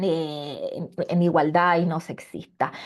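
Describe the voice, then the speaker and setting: At a very slow pace, a woman with a Chilean accent speaks at a fairly low pitch with fairly even intonation. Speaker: seminar panelist. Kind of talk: seminar talk. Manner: halting, many fillers and repetitions.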